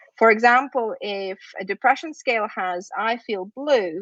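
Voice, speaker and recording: A woman with a Russian accent speaks at a fairly high pitch with lively intonation. The sound is dry and close with no echo. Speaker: university lecturer in psychology. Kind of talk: lecture.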